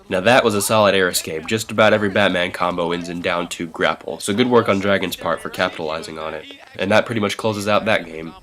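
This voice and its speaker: Over noticeable background noise, a man with a very deep, low pitch speaks with hardly any pauses. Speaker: fighting game analyst. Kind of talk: gameplay commentary voice-over.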